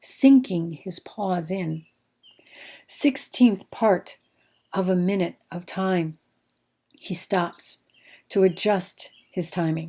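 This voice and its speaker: A woman with an American accent talks very slowly in a dark, mellow tone at a medium pitch, her intonation fairly even. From American Midwest. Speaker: poet. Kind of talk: poetry reading.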